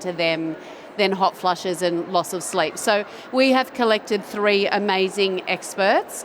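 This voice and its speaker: Over noticeable background noise, a woman with an Australian accent speaks at a medium pitch with fairly even intonation. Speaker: doctor and panel moderator. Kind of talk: panel discussion. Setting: stage with audience.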